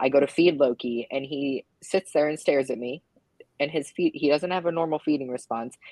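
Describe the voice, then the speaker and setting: Recorded with a dry, close sound and no echo, a woman speaks at a moderate pace in a very deep, low pitch. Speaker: live stream host, reptile keeper. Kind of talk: casual chat. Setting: live stream. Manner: loud.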